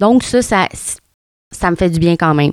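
A woman with a Quebec accent speaks at a fairly low pitch. The sound is dry and close, with no echo. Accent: Québécois French. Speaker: podcast host. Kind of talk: casual solo podcast talk. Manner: hesitant, many fillers and repetitions.

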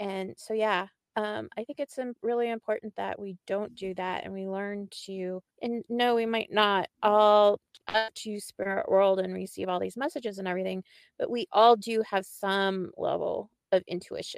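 Dry and close with no echo, a woman has a plain, everyday voice at medium pitch, with fairly even intonation and a moderate pace. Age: 50s. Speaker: podcast co-host. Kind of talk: casual interview chat.

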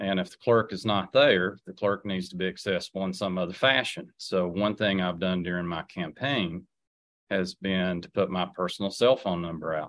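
The speaker uses an Appalachian accent at a moderate pace, with big swings in loudness. The background is quiet. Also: man, very deep, low pitch for a man, ordinary pitch variation. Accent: Appalachian Southern US. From Southwest Virginia, Wise County. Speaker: political candidate, former school administrator. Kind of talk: radio interview.

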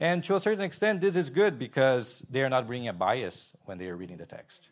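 Speaking with a Portuguese accent, the man makes big swings in loudness and very wide pitch swings. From Brazil. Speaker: PhD student in Old Testament. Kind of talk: panel discussion.

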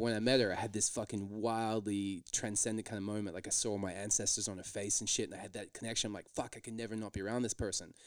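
A man's fairly low, monotone, flat voice at a very fast pace with hardly any pauses, in a very clean recording with a silent background. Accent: Australian. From Australia. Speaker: stand-up comedian. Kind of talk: casual chat.

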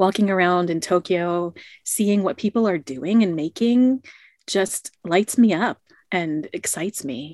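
On a very clean recording with a silent background and a dry, close sound with no echo, a woman speaks in an ordinary speaking voice at medium pitch and a fairly slow pace, with ordinary pitch variation. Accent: American. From United States. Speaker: creativity coach. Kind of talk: interview.

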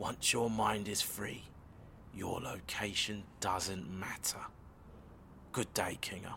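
A man whispers at a very slow pace. Long, frequent pauses break up his words. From from the Inner Zones. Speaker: member of the group, morning meditation practitioner. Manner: calm, composed, slightly condescending.

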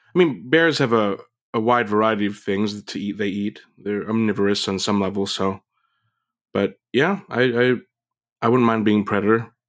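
An unremarkable speaking voice with an American accent talks at a moderate pace with ordinary pitch variation in a very clean recording with a silent background. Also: man, fairly low pitch for a man. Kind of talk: casual podcast discussion.

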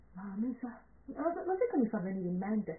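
A woman with a Calabrian accent speaks in a fairly high pitch. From Calabria, southern Italy. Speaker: perfume podcast co-host. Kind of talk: casual chat. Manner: animated.

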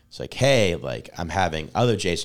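A man with lively intonation, a very fast pace and vocal fry, on a very clean recording with a silent background. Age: 30s. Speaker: stand-up comedian. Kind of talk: casual chat.

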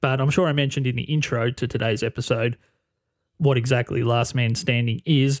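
The speaker has an Australian accent and talks at a fairly quick pace with fairly even intonation. Loudness stays very even, and the sound is dry and close with no echo. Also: man, medium pitch for a man. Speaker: podcast host. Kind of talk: casual interview chat.

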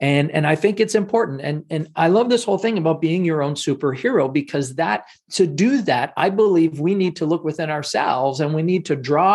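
A man with a Canadian accent, an unremarkable speaking voice, fairly high in pitch, with lively intonation at a moderate pace. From Canada. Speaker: speaking coach. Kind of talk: interview.

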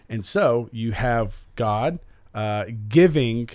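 This man's voice sits at a medium pitch and moves with lively intonation. The audio is very clean, and nothing can be heard behind him. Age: 30s. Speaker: podcast co-host discussing the Bible. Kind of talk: casual chat. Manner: animated, laughing often.

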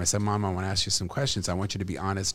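A man's very deep, low voice at a very fast pace, on a very clean recording with a silent background. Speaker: comedian and actor. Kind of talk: casual interview chat.

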